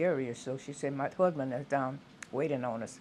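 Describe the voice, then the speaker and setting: In an American accent, a woman talks at a moderate pace with ordinary pitch variation. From US South, southwest Louisiana. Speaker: retired teacher. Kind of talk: oral history interview. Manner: halting.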